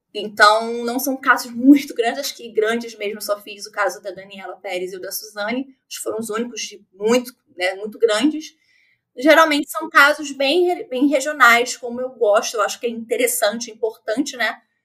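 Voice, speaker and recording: With a Rio de Janeiro accent, a woman speaks at a moderate pace in a fairly high pitch and a bright, sharp tone, with ordinary pitch variation and big swings in loudness. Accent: Rio de Janeiro (carioca). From Rio de Janeiro, Brazil. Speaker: true crime podcaster. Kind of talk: casual chat.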